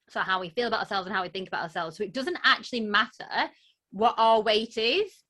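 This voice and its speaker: In a strong Lancashire accent, a woman speaks with a fairly high pitch, ordinary pitch variation and a bright, sharp tone on a very clean recording with a silent background. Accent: broad Lancashire, strong. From northern England, Lancashire. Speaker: body image coach. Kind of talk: interview, personal story.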